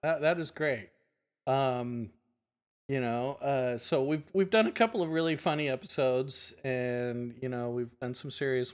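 A plain, everyday voice, with ordinary pitch variation and a moderate pace, is heard on a very clean recording against a silent background. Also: man. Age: 50s. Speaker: podcast host. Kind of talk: casual chat.

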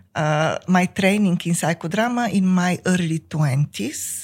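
A woman with a Bulgarian accent speaks very slowly in a somewhat breathy, fairly low voice. The recording is very clean, with a silent background. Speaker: psychotherapist and company founder. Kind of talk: interview.

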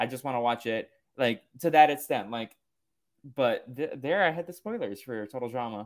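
In a very clean recording with a silent background, a plain, everyday voice talks at a moderate pace with ordinary pitch variation. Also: man, medium pitch for a man. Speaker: podcast host. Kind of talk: casual chat.

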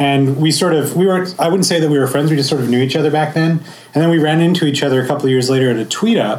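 A man speaks at a very fast pace with hardly any pauses, ordinary pitch variation and very even loudness. Noticeable background noise is present. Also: fairly high pitch for a man. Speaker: podcaster, co-host. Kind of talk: panel talk.

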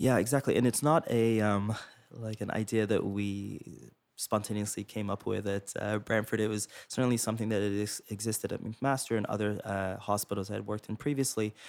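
With a Canadian accent, a man talks at a fairly quick pace in an ordinary speaking voice, fairly low in pitch and fairly even in intonation. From England, raised in Toronto from grade nine. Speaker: pediatrician, chief of pediatrics. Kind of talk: interview. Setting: studio.

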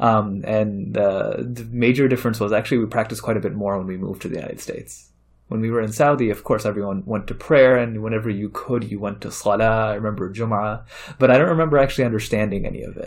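A man with a Chicago accent talks at a very fast pace, his fairly low voice holding a fairly even intonation. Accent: Chicago American English. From Chicago area, US Midwest. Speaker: imam and university chaplain. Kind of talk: interview storytelling. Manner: many fillers, halting.

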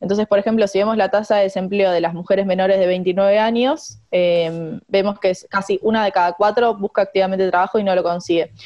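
A woman with a Rioplatense accent and a dark, mellow tone talks at a fairly quick pace with medium pitch, fairly even intonation, very even loudness and hardly any pauses. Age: 20s. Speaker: economist. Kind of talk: interview.

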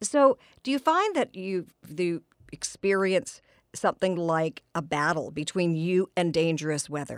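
A woman with a normal speaking voice talks at a fairly low pitch and a fairly slow pace, with lively intonation. The sound is dry and close, with no echo. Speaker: radio host. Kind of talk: radio interview. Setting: studio.

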